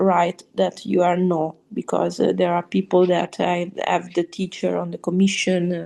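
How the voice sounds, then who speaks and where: Against a quiet background, a woman with an Italian accent talks in a dark, mellow tone. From Italy. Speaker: opera singer. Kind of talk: interview answer.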